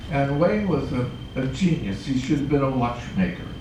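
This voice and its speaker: A man speaks at a fairly high pitch with ordinary pitch variation. Room echo is audible, and there is noticeable background noise. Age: 80s+. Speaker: puppeteer. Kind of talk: interview. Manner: halting.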